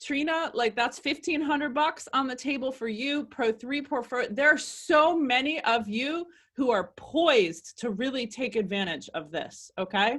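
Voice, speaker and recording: Her high, bright, sharp voice is raised and projected, as a woman speaks in an animated tone with lively intonation. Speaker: network marketing team coach. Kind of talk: live video team coaching call. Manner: loud.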